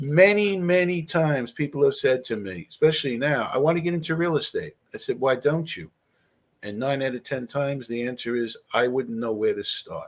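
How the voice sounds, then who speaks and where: Speaking at a moderate pace in a plain, everyday voice, a man uses lively intonation at a fairly high pitch. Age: 60s. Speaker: real estate investor and author. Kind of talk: podcast interview.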